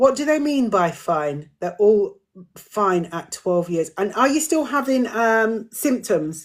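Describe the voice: This woman speaks slowly at a medium pitch. Her pitch swings widely.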